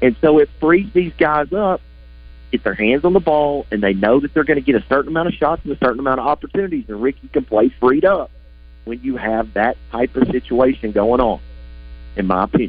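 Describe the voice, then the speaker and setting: Music plays in the background as a man talks. His medium-pitched voice has lively intonation and a fairly quick pace. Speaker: basketball analyst. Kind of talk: radio sports analysis.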